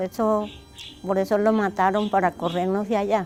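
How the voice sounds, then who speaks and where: A woman's monotone, flat delivery over music in the background. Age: 60s. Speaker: displaced widow. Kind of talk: testimony. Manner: halting.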